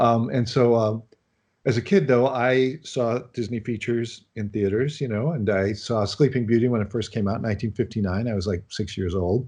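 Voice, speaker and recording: A man's medium-pitched, dark, mellow voice, at a moderate pace with ordinary pitch variation and a quiet background. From US Midwest, Chicago. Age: 60s. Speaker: animation film director. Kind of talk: interview.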